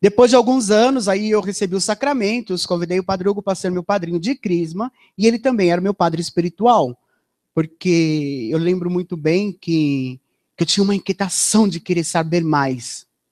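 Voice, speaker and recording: The intonation is lively. The pace is moderate. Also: man, high pitch for a man. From Brazil, São Paulo. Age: 40s. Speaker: religious giving testimony. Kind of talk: testimony.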